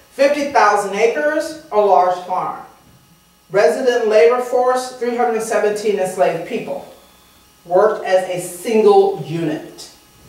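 A woman with an American accent speaks in a fairly high pitch with lively intonation, and audible room echo surrounds her voice. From Texas. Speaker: culinary historian. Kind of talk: lecture. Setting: stage with audience, PA system. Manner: loud. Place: hall.

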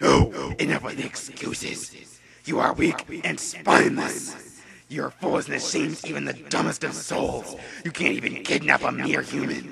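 A man puts on a character voice that comes out raspy. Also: moderate pace. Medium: audio drama. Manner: stern, scornful.

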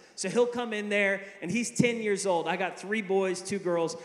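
Audible room echo surrounds a man who speaks high for a man, at a moderate pace, with ordinary pitch variation. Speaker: preacher. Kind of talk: sermon. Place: hall. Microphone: handheld.

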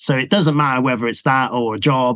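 At a fairly quick pace, a man with a British accent speaks at a medium pitch with ordinary pitch variation. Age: 50s. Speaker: music producer. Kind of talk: interview.

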